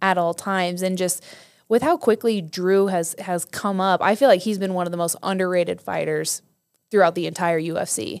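A woman with an American accent in a normal speaking voice, medium pitch, ordinary pitch variation and moderate pace, on a very clean recording with a silent background. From Nebraska. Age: 30s. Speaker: podcast host. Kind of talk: interview.

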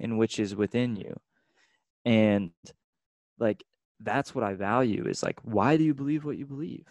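An unremarkable speaking voice belongs to a man with an American accent, medium pitch and ordinary pitch variation, talking at a moderate pace in a dry, close sound with no echo and a quiet background. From Texas, Austin. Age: 20s. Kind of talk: casual faith discussion.

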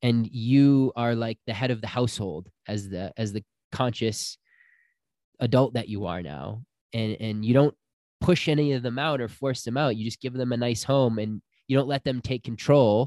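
In a very clean recording with a silent background and a dry, close sound with no echo, a man speaks at a medium pitch and a moderate pace, with ordinary pitch variation and a dark, mellow tone. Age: 30s. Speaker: spiritual healer and retreat guide. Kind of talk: casual interview.

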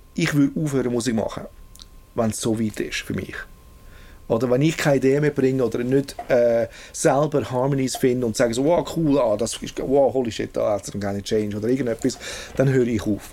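This man's voice has a dark, mellow tone, sitting at medium pitch with ordinary pitch variation. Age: 40s. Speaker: music producer. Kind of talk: casual interview. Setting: recording studio. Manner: halting, with many repetitions.

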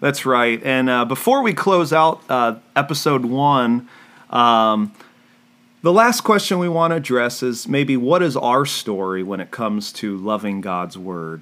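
Bright, sharp tone with lively intonation at a fairly slow pace. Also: man, medium pitch for a man. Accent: American. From US South, Orlando, Florida. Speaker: pastor and podcast co-host. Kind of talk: casual Bible-teaching podcast chat. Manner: hesitant, many fillers.

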